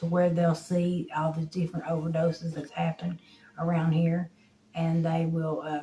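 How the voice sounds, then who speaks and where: A woman with an Appalachian accent speaks at a moderate pace in a fairly low, somewhat breathy voice with a dark, mellow tone and monotone, flat intonation. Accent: Appalachian Southern US. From eastern Kentucky, Harlan County. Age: 40s. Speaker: recovering addict. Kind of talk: interview testimony.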